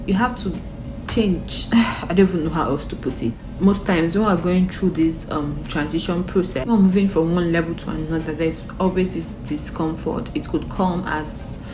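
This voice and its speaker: With music in the background and audible room echo, a woman of fairly low pitch talks at a moderate pace with ordinary pitch variation. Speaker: motivational vlogger. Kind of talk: motivational talk to camera. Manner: casual, filler-heavy.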